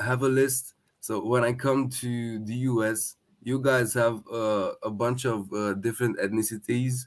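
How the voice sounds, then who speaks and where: On a very clean recording with a silent background, a man speaks at a medium pitch in a flat monotone at a fairly slow pace. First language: Romanian. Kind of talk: casual chat. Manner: halting.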